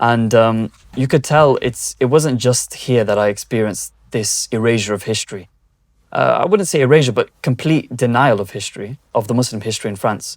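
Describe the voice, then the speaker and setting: Fairly quick speech in a British accent, with ordinary pitch variation, on a very clean recording with a silent background. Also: man, medium pitch for a man. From Britain. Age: young. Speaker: video journalist. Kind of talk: interview. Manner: hesitant, many fillers.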